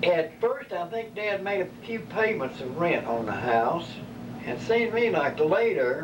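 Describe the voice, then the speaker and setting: Heard through audible room echo and noticeable background noise, a man with a Kentucky accent speaks at a moderate pace. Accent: Kentucky Southern US. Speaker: elderly relative telling family stories. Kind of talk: oral history interview.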